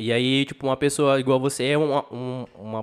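With a plain, everyday voice, a man speaks at a moderate pace and medium pitch in a very clean recording with a silent background. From São José do Rio Preto, Brazil. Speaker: podcast host. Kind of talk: casual chat.

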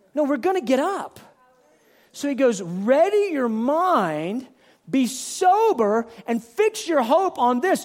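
There is noticeable background noise behind a man's voice. His pitch swings very widely. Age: 40s. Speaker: pastor. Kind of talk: sermon. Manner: animated.

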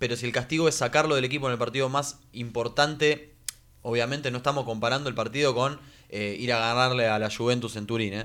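Very fast and bright, with a sharp tone, a man speaks in a Rioplatense accent at a medium pitch with fairly even intonation. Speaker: sports radio co-host. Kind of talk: casual chat.

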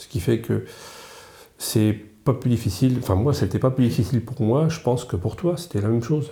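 A man speaks at a medium pitch with a dark, mellow, somewhat breathy tone and ordinary pitch variation. His pace is fairly quick, broken by long, frequent pauses. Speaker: retired business owner. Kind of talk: casual chat.

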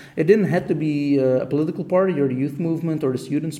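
Talking at a very fast pace, a man with a fairly high pitch shows ordinary pitch variation over noticeable background noise. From Belgium, Ghent (Flanders). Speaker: political youth organizer. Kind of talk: interview. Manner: halting.

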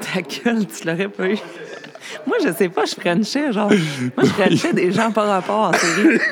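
Over noticeable background noise, a woman with a medium pitch speaks at a fairly slow pace with very wide pitch swings. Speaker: hairdresser. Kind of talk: casual chat. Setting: cabaret bar.

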